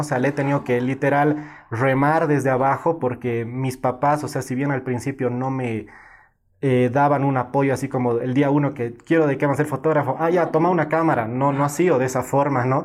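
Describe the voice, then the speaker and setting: A man at a moderate pace, medium in pitch, with monotone, flat intonation. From Bolivia, Cochabamba. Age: 20s. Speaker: photographer. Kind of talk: interview.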